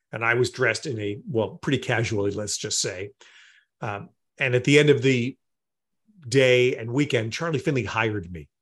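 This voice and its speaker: An American man talks at a moderate pace with a medium pitch, ordinary pitch variation and a somewhat breathy voice. He leaves long, frequent pauses against a quiet background. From New York area. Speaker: sports play-by-play announcer. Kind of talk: interview.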